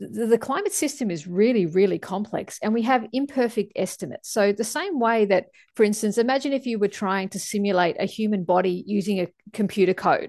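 A woman with an Australian accent talks at a fairly quick pace against a quiet background. Her pitch is fairly high and varies in an ordinary way. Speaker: climate scientist. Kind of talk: interview.

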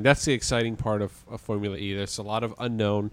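The recording of this man is very clean, and the background is completely silent. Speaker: podcast host. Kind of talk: casual chat. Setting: outdoors.

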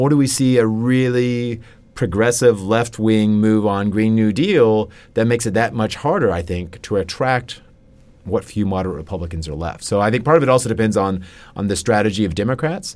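A man talks in an ordinary speaking voice at a fairly low pitch. His pace is fairly quick, with ordinary pitch variation. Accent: American. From US South, Kentucky (Lexington). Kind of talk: interview.

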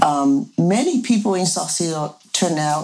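Noticeable noise runs in the background. Over it, a woman talks with lively intonation. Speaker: village co-founder. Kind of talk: casual interview.

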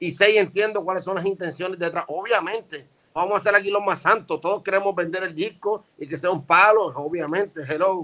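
A man projects a raised voice with a bright, sharp tone at a high pitch. He moves at a fairly quick pace with fairly even intonation. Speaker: veteran rapper. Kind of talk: casual chat.

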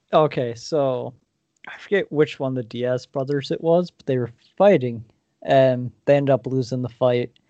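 This speaker has an American accent and talks at a moderate pace with ordinary pitch variation. The loudness swings widely throughout. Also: man, medium pitch for a man. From Massachusetts, US. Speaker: podcast guest, gamer. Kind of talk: casual chat.

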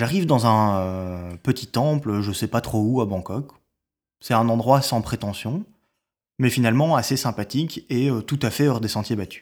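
In a very clean recording with a silent background, a man with a slight Belgian accent speaks at a fairly slow pace with ordinary pitch variation. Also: medium pitch for a man. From Belgium. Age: 30s. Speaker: storyteller. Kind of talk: personal narrative. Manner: hesitant, many fillers.

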